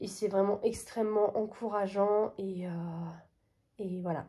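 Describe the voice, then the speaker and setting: A woman speaks at a medium pitch with a dark, mellow tone. Her delivery is fairly slow and her intonation is monotone and flat. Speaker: coloring hobby vlogger. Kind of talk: casual vlog talk to camera. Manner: halting, many hesitations.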